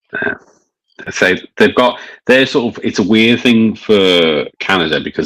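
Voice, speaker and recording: A man speaks in a Scouse accent. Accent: mild Scouse. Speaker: beer reviewer. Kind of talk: casual chat.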